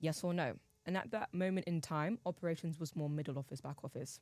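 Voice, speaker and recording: A woman talks at a very fast clip with a London accent. Her pitch sits fairly low and moves in an ordinary way. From England, East London. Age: 19. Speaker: university student. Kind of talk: podcast debate.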